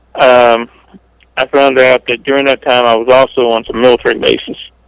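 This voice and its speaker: At a moderate pace and medium pitch, a man talks in an unremarkable speaking voice, with a dry, close sound with no echo. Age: 40s. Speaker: whistleblower. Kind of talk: interview.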